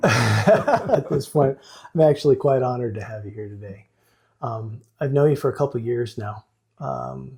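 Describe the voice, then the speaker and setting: A man speaks at a moderate pace in a medium pitch, somewhat breathy, with big swings in loudness. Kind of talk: podcast host interview.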